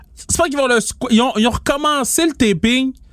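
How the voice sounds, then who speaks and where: A man talks at a moderate pace in a Quebec accent. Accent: Québécois French. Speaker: podcast co-host and event promoter. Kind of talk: casual chat.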